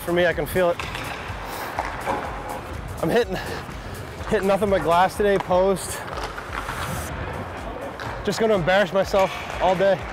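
Against background music, a man talks at a moderate pace in a monotone, flat intonation with very even loudness, long, frequent pauses and a dry sound with no echo. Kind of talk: casual banter during practice. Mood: joking, playful. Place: stadium. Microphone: lapel.

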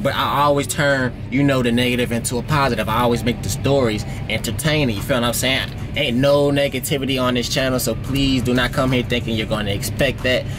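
With music in the background, a man speaks at a fairly quick pace with fairly even intonation. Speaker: truck driver vlogger. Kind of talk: casual vlog chat. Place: car. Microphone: phone near.

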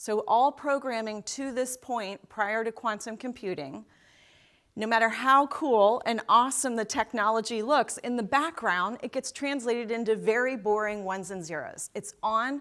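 Her pitch varies in an ordinary way as she talks at a moderate pace. The speaker is a woman, with a quiet background. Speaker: keynote speaker. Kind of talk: keynote speech. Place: stage. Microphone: lapel.

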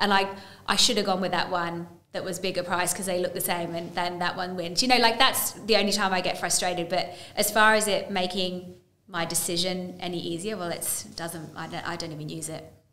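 The voice moves at a fairly quick pace with big swings in loudness, and audible room echo fills the recording. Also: woman, fairly even intonation. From England. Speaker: horse racing broadcaster; podcast guest. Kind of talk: interview. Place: studio.

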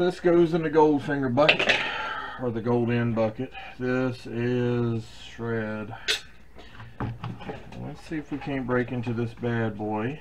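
Noticeable background noise runs behind a man speaking at a very slow pace with long, frequent pauses. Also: ordinary pitch variation. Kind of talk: tutorial. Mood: relaxed, chatty. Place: workshop.

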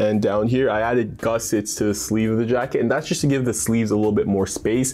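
Faint music plays in the background as a man talks at a fairly quick pace with ordinary pitch variation. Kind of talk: casual vlog chat. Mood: relaxed, upbeat. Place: home room. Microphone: lapel.

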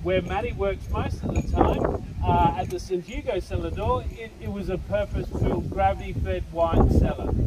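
Over loud background noise, a man speaks at a moderate pace with hardly any pauses. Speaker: winery tour guide. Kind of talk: guided tour explanation. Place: open country. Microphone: camera far.

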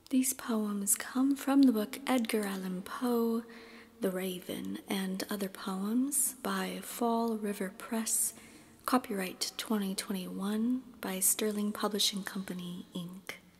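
Calm and soft-spoken, a woman talks at a fairly slow pace. Noticeable background noise is present. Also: fairly high pitch for a woman, ordinary pitch variation. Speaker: classical soprano, reiki practitioner. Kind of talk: poetry reading. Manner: soft-spoken, calm.

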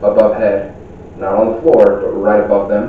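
Flat and monotone, a man's voice carries audible room echo over light background noise. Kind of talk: on-location introduction to camera. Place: shop. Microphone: camera far.

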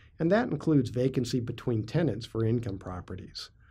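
A man's voice comes through dark and mellow, a bit breathy, its pitch rising and falling in an ordinary way. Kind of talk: informational vlog talk.

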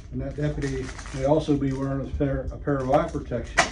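Fairly quick male speech with noticeable background noise underneath. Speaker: county sheriff. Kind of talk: public service announcement to camera. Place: kitchen. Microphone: phone near.

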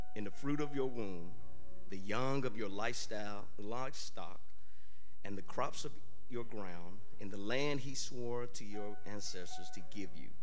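Faint music plays behind a man with a fairly low voice and ordinary pitch variation. He speaks at a fairly slow pace with very even loudness. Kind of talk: scripture reading. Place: church. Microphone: podium.

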